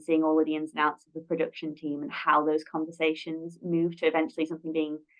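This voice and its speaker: In a monotone, flat intonation, a woman with a very deep, low voice speaks at a fairly quick pace. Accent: Lancashire. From northern England, Blackpool. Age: 20s. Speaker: production administrator. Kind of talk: interview.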